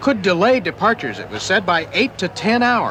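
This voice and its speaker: Lively intonation from a man with a high pitch, at a moderate pace, over noticeable background noise. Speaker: TV news reporter. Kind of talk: TV news report narration.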